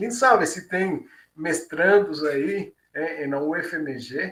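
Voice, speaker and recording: A man speaks with a Cuban accent. His tone is bright and sharp. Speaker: engineering professor. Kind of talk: closing remarks at a webinar. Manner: halting, many fillers.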